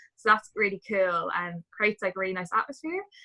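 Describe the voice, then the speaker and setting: In a Dublin accent, a woman speaks at a medium pitch with a bright, sharp tone, recorded with a dry, close sound with no echo over a quiet background. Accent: Irish, Dublin. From Ireland, Dublin. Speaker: travel community member, former cruise ship dancer. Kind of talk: casual interview chat.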